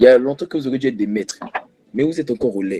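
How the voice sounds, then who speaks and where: A man speaks very fast at a medium pitch. His tone is dark and mellow. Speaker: preacher. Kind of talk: prayer; sermon.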